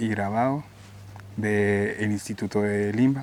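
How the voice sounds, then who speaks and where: Through noticeable background noise, a man with a Guatemalan accent and fairly low pitch speaks at a very slow pace. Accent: non-Mexican, Guatemalan. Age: 30s. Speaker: painter. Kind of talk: interview.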